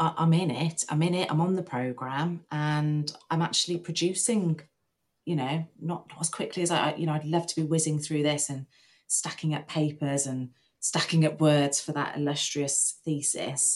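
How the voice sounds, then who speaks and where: A woman with an English accent, very deep and low in pitch, at a moderate pace with fairly even intonation. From rural England. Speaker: nurse and PhD student. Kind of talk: interview.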